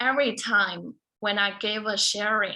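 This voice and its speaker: Speaking very slowly in a Chinese accent, a woman uses a fairly high pitch and a bright, sharp tone. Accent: Mandarin Chinese. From China (small southern city, then Beijing from age 12). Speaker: beauty queen and motivational speaker. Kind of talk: speech.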